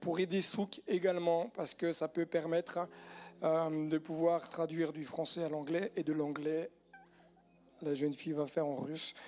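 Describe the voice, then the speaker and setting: A man with a high pitch speaks at a fairly slow pace. Long, frequent pauses break up his speech. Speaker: pastor. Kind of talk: sermon.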